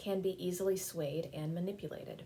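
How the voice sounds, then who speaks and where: A woman speaks in an American accent at a medium pitch. Her tone is dark and mellow, and somewhat breathy. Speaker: spiritual program director giving a civic sermon. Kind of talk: sermon-style talk on civic themes.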